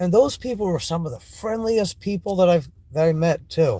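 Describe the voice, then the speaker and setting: A man speaks with a Maine accent at a moderate pace. His pitch swings very widely. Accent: American (Maine). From Maine, US. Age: 40s. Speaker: vlogger. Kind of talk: casual vlog monologue. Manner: halting, with restarts.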